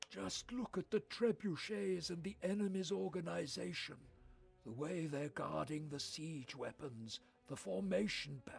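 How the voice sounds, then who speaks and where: Over music in the background, a man performs a put-on character voice at a fairly high pitch, with very wide pitch swings and a moderate pace. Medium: video game. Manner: calm, dignified.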